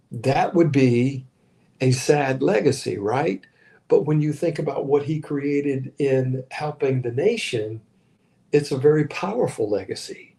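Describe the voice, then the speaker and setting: Fairly slow and somewhat breathy, a man speaks with an American accent. His dark, mellow tone sits at a fairly high pitch. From Virginia, US (Richmond). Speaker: pastor. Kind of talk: livestream sermon. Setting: live stream while traveling.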